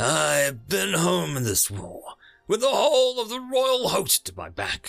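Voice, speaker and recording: Using a put-on character voice, a man growls at a moderate pace. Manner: growling, enraged.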